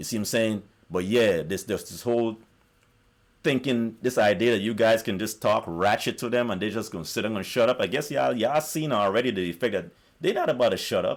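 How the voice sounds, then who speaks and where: At a very fast pace, a man speaks with a fairly low pitch. The recording is very clean, with a silent background. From South America. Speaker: YouTuber. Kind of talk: monologue rant. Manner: animated.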